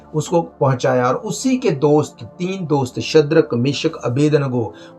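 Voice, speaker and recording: Music plays in the background behind a man. His fairly high voice has lively intonation. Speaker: preacher. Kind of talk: sermon delivered to a congregation.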